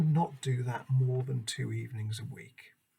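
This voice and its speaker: A man speaks at a moderate pace and medium pitch, with ordinary pitch variation. His tone is dark and mellow, somewhat breathy. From northwest England. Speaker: English language teacher. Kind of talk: self-introduction presentation. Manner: formal.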